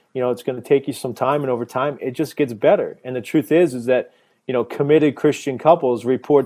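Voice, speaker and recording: Pitched in the medium range, a man with an ordinary speaking voice talks with fairly even intonation. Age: 30s. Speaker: abstinence ministry worker. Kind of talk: casual chat.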